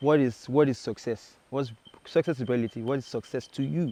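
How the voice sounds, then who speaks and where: A man with a Nigerian accent has a dark, mellow tone and ordinary pitch variation. He talks at a moderate pace over a quiet background. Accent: Nigerian (Yoruba) English. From Nigeria, Badagry (Lagos). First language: Yoruba. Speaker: singer-songwriter. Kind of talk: interview.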